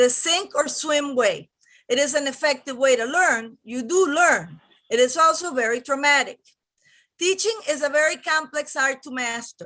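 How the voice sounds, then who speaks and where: Raised and projected, a woman's high voice with a bright, sharp tone comes in a Spanish accent at a moderate pace with ordinary pitch variation. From Venezuela. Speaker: teacher, public commenter. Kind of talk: prepared public comment.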